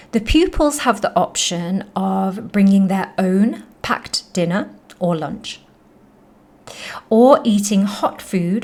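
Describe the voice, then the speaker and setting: A woman with a British accent speaks very slowly, somewhat breathy and with lively intonation. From United Kingdom. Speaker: English teacher. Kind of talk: educational podcast narration.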